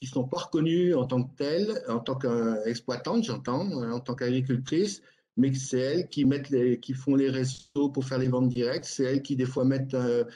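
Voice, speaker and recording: Here a man speaks at a medium pitch with ordinary pitch variation. His tone is dark and mellow, and his pace is moderate. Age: 60s. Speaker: livestock farmer. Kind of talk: panel debate. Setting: live online debate. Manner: halting.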